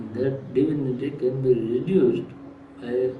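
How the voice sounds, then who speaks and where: A man's voice is heard with audible room echo and noticeable background noise. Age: 80s+. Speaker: yoga teacher, swami. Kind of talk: interview answers, spiritual teaching. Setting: recorded at an ashram.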